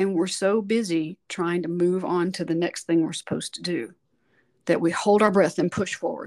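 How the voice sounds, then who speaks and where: A woman speaks in a plain, everyday voice at a fairly low pitch. Her pace is moderate, with ordinary pitch variation. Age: 50s. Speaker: voice teacher and singer. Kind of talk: interview conversation.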